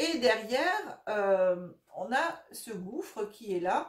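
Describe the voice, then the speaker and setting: A woman is speaking. Her pitch swings very widely. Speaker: tarot reader and energy healer. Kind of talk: tarot reading monologue. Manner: hesitant, many fillers.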